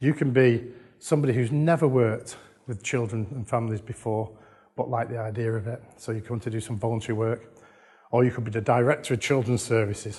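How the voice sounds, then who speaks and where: With an English accent, a man talks at a very fast pace in a medium pitch. His tone is dark, mellow and somewhat breathy against a quiet background. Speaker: conference speaker on children's social care. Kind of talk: conference talk. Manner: animated.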